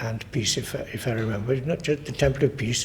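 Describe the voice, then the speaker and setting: A man speaks in a Welsh accent with ordinary pitch variation. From Carmarthenshire, Wales. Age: 90s. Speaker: oral history interviewee. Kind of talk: oral history interview.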